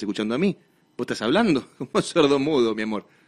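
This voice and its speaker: With a Rioplatense accent, a man talks at a very fast pace. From Argentina. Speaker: radio host. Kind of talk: live radio talk show. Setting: radio studio, streamed live. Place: studio.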